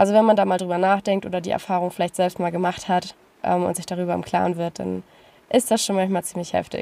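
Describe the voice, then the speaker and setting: Speaking very fast, a woman keeps a monotone, flat intonation in a dark, mellow tone. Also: medium pitch for a woman. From northern Germany, Lüneburg Heath. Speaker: travel podcaster. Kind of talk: personal monologue.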